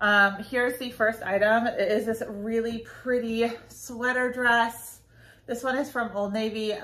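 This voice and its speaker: A woman's voice comes through with a bright, sharp tone. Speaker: clothing reseller. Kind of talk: casual vlog chat. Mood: upbeat, chatty. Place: home room. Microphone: phone near.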